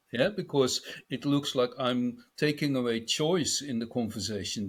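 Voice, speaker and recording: With a Dutch accent, a man speaks at a moderate pace and ordinary pitch variation in a very clean recording with a silent background. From Netherlands. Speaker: business speaker on a panel. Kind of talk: panel discussion.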